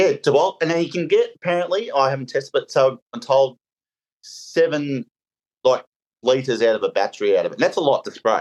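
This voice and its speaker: A man talks fairly quickly with an Australian accent. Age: 40s. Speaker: painter and decorator. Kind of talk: casual chat. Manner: halting.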